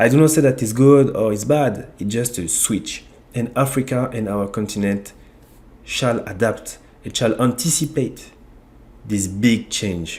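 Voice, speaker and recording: A man speaks with a French accent at medium pitch. He goes at a fairly slow pace with ordinary pitch variation. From France (Ivorian origin). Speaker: YouTube channel host on African economics. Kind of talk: online video monologue. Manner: halting, with repetitions.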